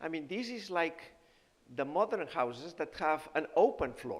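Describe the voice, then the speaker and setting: A man with a Spanish accent, fairly slow in pace, with lively intonation. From Spain (Barcelona). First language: Spanish or Catalan. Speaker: nutrition professor and physician. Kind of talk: health seminar talk. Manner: halting, with fillers.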